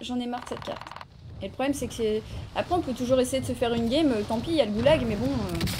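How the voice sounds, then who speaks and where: Speaking at a very fast pace, a woman with a high pitch and ordinary pitch variation is heard over noticeable background noise. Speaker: video game streamer. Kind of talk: live gaming stream with chat. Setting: online voice chat with teammates. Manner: animated.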